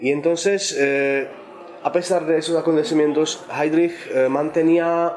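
A man with a Czech accent and ordinary pitch variation, amid noticeable background noise and audible room echo. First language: Czech (speaking Spanish). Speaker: translator and journalist. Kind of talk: round-table discussion. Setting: bookshop event with audience.

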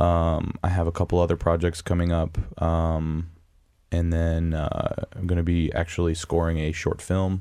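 A man's very deep, low voice with an American accent, dark and mellow in tone, monotone and flat at a fairly slow pace, on a very clean recording with a silent background. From US Midwest, Wisconsin. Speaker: audio engineer and voice actor. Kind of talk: casual chat. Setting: studio.

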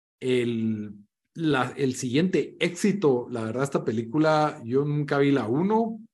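A man's fairly high voice at a very slow pace, with lively intonation. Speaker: podcast host. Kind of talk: casual chat.

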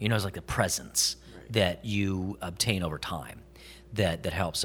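This man has a very deep, low pitch and a bright, sharp tone. His delivery is animated. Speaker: voice actor. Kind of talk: casual convention interview. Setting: convention interview. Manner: jokey, animated.

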